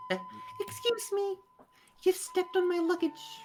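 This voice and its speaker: A put-on character voice at an extremely high pitch, moderate pace, with faint music in the background. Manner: polite but indignant.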